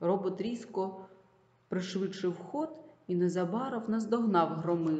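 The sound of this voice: An unforced reading voice, the pitch varying in an ordinary way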